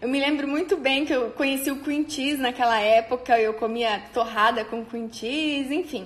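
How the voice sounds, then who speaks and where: A woman's high pitch, with ordinary variation and a moderate pace. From Brazil, interior of São Paulo state near Paraná border. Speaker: nutritionist. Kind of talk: personal storytelling monologue. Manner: informal with frequent fillers.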